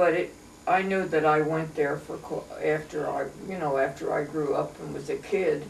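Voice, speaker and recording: Audible room echo and noticeable background noise surround speech delivered at a moderate pace. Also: woman. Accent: American. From Pennsylvania, US. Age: 90s. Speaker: elderly local resident. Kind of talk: oral history interview. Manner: halting.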